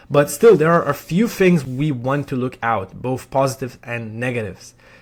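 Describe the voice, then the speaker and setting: A man with a non-native accent talks at a moderate pace in a medium pitch. The recording is very clean, with a silent background. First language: not English. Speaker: sales coach. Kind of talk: tutorial. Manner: halting.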